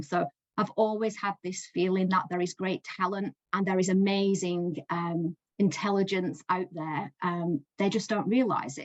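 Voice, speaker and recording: Here a woman with a Lancashire accent talks at a medium pitch and a fairly slow pace, her intonation fairly even. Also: dry, close sound with no echo. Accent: Northern English (Lancashire). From Lancashire, England. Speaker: education support coach. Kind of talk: speaker spot talk to business group.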